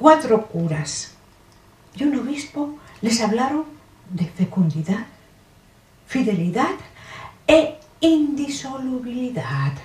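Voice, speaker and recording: With long, frequent pauses, a woman speaks at a very slow pace in a high pitch that moves in very wide swings. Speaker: actress. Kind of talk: comic stage monologue. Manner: satirical, humorous.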